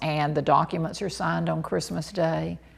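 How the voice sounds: A woman talks at a moderate pace in a low voice with vocal fry and little pitch movement.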